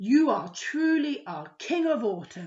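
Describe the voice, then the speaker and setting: Putting on a character voice, a woman speaks fairly slowly at a high pitch with very wide pitch swings. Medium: read story.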